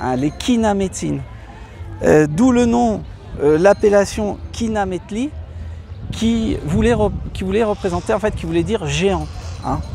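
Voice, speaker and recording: Over noticeable background noise, a man speaks at a very slow pace, leaving long, frequent pauses. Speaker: travel vlogger. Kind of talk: casual vlog explanation. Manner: halting, many hesitations.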